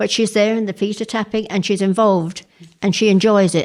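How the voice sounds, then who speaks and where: Very fast speech from a woman with an English accent, medium pitch and fairly even intonation, on a very clean recording with a silent background. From England. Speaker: women's shed member. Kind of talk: interview testimony.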